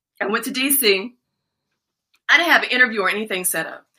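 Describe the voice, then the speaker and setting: In an American accent, a woman with a fairly high pitch and a bright, sharp tone speaks at a moderate pace with ordinary pitch variation. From Washington DC. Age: 50s. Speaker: former TV news anchor. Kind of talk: casual interview. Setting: live-streamed video call.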